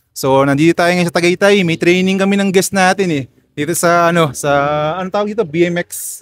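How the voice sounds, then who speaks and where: With a dry, close sound and no echo, a man talks at a fairly quick pace in a high pitch with fairly even intonation. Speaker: podcast host. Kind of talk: casual interview chat. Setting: outdoors at a BMX track.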